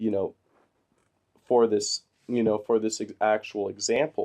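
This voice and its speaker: A man speaks with fairly low pitch at a fairly slow pace. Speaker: online marketing course instructor. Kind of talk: tutorial. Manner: halting, many fillers.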